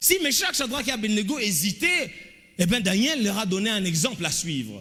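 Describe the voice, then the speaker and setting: A man's raised, projected voice, high in pitch with very wide pitch swings at a moderate pace, amid noticeable background noise and audible room echo. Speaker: pastor. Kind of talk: sermon.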